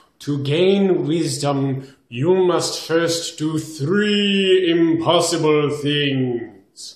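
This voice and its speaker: Using a put-on character voice, a man talks at a very slow pace and fairly high pitch with hardly any pauses. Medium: read story. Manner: slow, solemn, grand.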